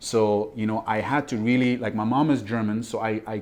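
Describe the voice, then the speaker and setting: Over a quiet background, a man with a French accent speaks at a medium pitch with fairly even intonation. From Ivory Coast. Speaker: mindset coach. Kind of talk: interview.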